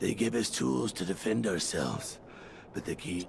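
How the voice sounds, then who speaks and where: Using a put-on character voice, a man speaks at a moderate pace with a very deep, low pitch against clear background noise. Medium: video game. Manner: formal, measured.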